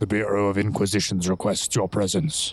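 The voice is a gruff, put-on character voice. It moves at a fairly quick pace. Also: man, fairly low pitch for a man. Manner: formal, commanding.

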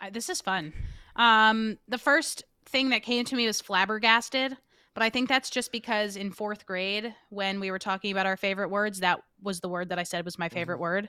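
A woman with an American accent, medium pitch, bright, sharp tone, ordinary pitch variation and a moderate pace, on a very clean recording with a silent background. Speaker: podcast marketer and founder. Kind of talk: casual interview.

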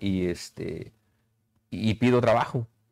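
Using an unremarkable speaking voice, a man holds a medium pitch with ordinary pitch variation. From Mexico, Ticumán, Morelos. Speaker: chef and restaurateur. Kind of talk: casual interview. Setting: on location in his restaurant.

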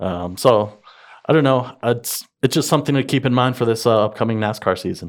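With an unremarkable speaking voice pitched in the medium range, this man shows ordinary pitch variation in a very clean recording with a silent background. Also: fairly quick pace. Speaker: podcast co-host. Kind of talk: casual chat.

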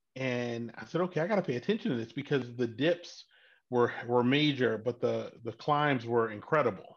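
This man speaks with an American accent at a fairly quick pace, his intonation lively against a quiet background. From Baltimore, Maryland, US. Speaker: tech entrepreneur and crypto investor. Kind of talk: casual interview.

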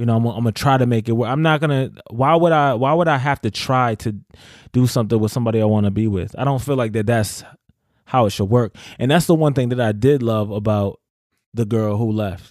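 A man speaks in an unremarkable speaking voice at a medium pitch with ordinary pitch variation. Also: fairly quick pace. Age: 30s. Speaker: spoken word artist and teacher. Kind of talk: casual chat.

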